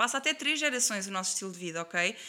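A woman speaks very fast with lively intonation and a bright, sharp tone on a very clean recording with a silent background. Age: 20s. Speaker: athlete and nutrition student. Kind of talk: casual interview.

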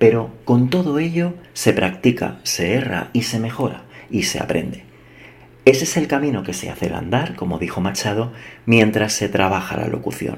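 Lively intonation marks this man's medium-pitched voice at a moderate pace. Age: 40s. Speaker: podcast host. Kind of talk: scripted monologue. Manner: measured.

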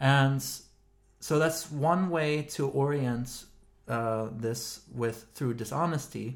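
Pitch variation stays ordinary throughout. There is a somewhat breathy quality to the voice. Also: man. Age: 30s. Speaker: podcast co-host, philosopher. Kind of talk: casual philosophical discussion.

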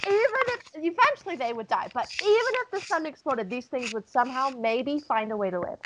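The voice makes very wide pitch swings, moving at a fairly quick pace with hardly any pauses. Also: woman, high pitch for a woman. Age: 20s. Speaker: podcast co-host. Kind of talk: casual chat.

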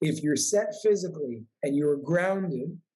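A somewhat breathy man with an American accent and lively intonation, at a fairly slow pace. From New York. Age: 20s. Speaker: spiritual coach and author. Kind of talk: casual interview.

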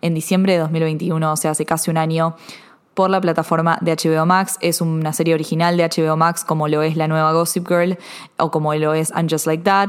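Speaking fairly quickly in a Rioplatense accent, a woman keeps a flat, monotone delivery at a fairly low pitch. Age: 20s. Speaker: podcast host. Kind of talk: solo film and TV commentary.

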